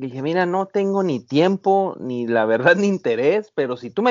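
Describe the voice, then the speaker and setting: A man talks at a high pitch. His pace is fairly quick. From Mexico, Baja California. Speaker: overlanding photographer and off-road enthusiast. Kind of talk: interview. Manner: halting, many repetitions.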